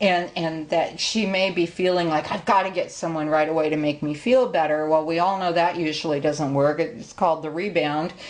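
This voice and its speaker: This woman has a plain, everyday voice with a fairly low pitch and ordinary pitch variation. She moves at a moderate pace with hardly any pauses. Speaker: tarot reader and psychic medium. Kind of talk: tutorial.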